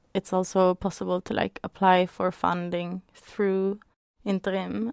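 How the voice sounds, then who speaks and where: In a very clean recording with a silent background and a dry, close sound with no echo, a woman with a Norwegian accent speaks fairly slowly at a medium pitch with monotone, flat intonation. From Norway. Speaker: dance artist and arts organizer. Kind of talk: casual chat.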